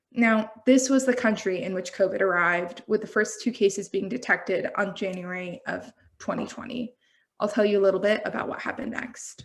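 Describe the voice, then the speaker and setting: With an American accent, a woman at medium pitch talks at a fairly quick pace in fairly even intonation, a normal speaking voice. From United States. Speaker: health systems researcher presenting at a symposium. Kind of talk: conference presentation.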